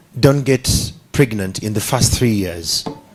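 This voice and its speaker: This man talks at a moderate speed, his pitch varying in an ordinary way, while noticeable noise runs in the background. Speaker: media professional, panel speaker. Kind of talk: public speech at a women's forum. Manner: soft-spoken.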